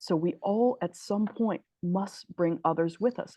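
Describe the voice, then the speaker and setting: A woman with an unremarkable speaking voice talks at a fairly slow pace with ordinary pitch variation, the sound dry and close with no echo. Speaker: spiritual teacher. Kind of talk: lecture.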